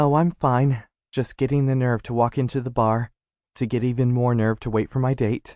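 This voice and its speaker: A man's squeaky, put-on character voice at medium pitch, monotone and flat, fairly quick, with very even loudness, in a dry, close sound with no echo and a quiet background. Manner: fast.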